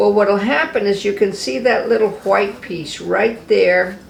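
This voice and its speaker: A woman talks at a moderate pace. There is noticeable background noise. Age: 70s. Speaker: cosmetology instructor. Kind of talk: tutorial. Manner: casual, conversational.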